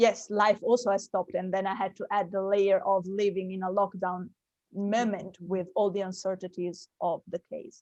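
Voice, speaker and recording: A woman's monotone, flat delivery in an Italian accent. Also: medium pitch for a woman, moderate pace. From Italy. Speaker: actress and producer. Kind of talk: interview.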